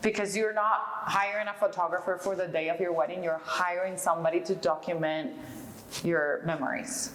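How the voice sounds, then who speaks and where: With noticeable background noise behind her, a woman speaks with ordinary pitch variation. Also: medium pitch for a woman, moderate pace, very even loudness. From Venezuela. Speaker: fashion designer. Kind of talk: interview answer.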